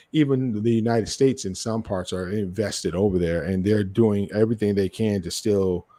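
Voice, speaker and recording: A man's dark, mellow tone with ordinary pitch variation, on a very clean recording with a silent background. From New York. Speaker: podcast host. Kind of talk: casual chat. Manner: halting, many restarts.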